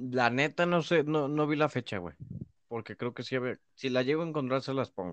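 A man's medium-pitched voice with a Mexican accent, ordinary pitch variation and a moderate pace, with a dry, close sound with no echo and a quiet background. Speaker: podcast co-host. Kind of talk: casual chat.

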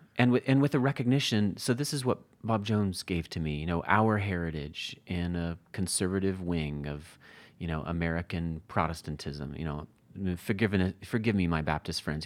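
Lively intonation at a fairly quick pace, in a very clean recording with a silent background. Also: man, very deep, low pitch for a man. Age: 40s. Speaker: Bible editor and author. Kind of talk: interview conversation.

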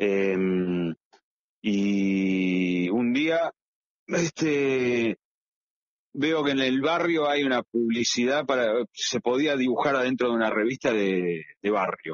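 A man speaks at a very slow pace and a medium pitch, with very even loudness. He takes long, frequent pauses. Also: lively intonation. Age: 50s. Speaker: comic book illustrator. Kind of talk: interview. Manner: halting, many repetitions.

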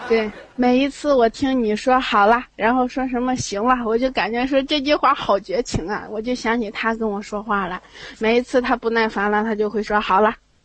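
A woman speaks in a plain, everyday voice with a fairly high pitch. Her pace is moderate and her intonation fairly even. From Tongliao, Inner Mongolia. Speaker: caller. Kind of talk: casual chat.

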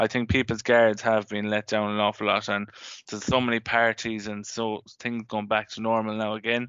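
In an Irish accent, a man speaks at a moderate pace and fairly low pitch. His intonation is monotone and flat. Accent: Irish (Mayo). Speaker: sports podcast host. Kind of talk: casual chat.

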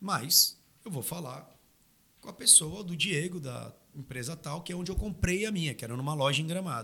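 This man has an unremarkable speaking voice with a fairly high pitch and lively intonation. He keeps a moderate pace, with big swings in loudness. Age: 30s. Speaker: knife maker and labor consultant. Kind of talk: casual chat. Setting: studio.

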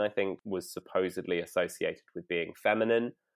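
With a London accent, a man delivers his words in monotone, flat intonation at a fairly low pitch and fairly quick pace, on a very clean recording with a silent background. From North London. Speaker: poet and performer. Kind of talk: casual chat. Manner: halting.

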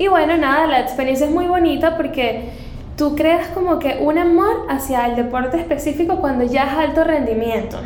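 Speaking at a moderate pace, a woman has a high pitch, ordinary pitch variation and very even loudness. Noticeable background noise and audible room echo are present. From Venezuela, Caracas. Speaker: fitness coach and former runner. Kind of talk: casual interview.

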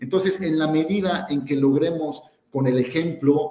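This man has an unremarkable speaking voice. His pitch is fairly high, with ordinary pitch variation. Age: 40s. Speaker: corporate sustainability director and university lecturer. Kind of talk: live webinar panel discussion. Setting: online webinar, live stream.

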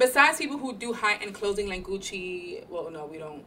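This woman's pitch is medium, and noticeable background noise sits behind her voice. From New York (Bronx), Puerto Rican. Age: 30s. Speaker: podcast co-host. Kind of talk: casual chat.

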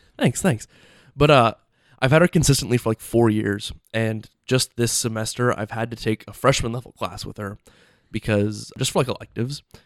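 Recorded very cleanly against a silent background, with a dry, close sound and no echo, a man in a plain, everyday voice speaks at a moderate pace and medium pitch with ordinary pitch variation. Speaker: college podcast co-host. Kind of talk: casual chat.

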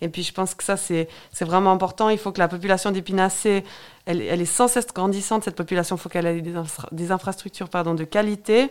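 At a very fast pace, a woman with medium pitch speaks on a very clean recording with a silent background. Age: 30s. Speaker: local political candidate. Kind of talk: radio interview.

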